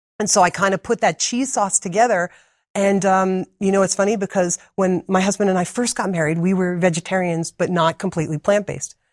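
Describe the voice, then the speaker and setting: Speaking with a New Jersey accent, a woman uses a medium pitch and fairly even intonation at a fairly quick pace, her sound dry and close with no echo on a very clean recording with a silent background. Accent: New Jersey American. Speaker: medical missionary and cookbook author. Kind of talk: interview.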